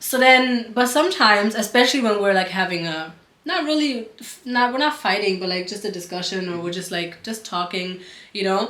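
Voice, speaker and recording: Amid audible room echo, a woman talks at a fairly quick pace and medium pitch, with lively intonation and big swings in loudness. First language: German. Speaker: couple vlogger. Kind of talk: casual chat.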